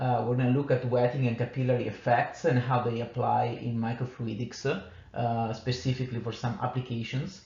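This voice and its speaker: Amid noticeable background noise and audible room echo, a man with an Italian accent and medium pitch talks at a fairly quick pace. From Italy. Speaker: engineering manager giving a technical talk. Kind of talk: conference lecture. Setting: conference workshop. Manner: halting, many fillers.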